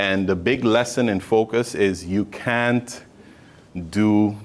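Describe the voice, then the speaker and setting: A man with a Sint Maarten accent and ordinary pitch variation. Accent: Caribbean (Sint Maarten). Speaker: motivational speaker, entrepreneur. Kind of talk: motivational speech to students. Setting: hotel venue, audience of students. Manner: conversational with frequent fillers.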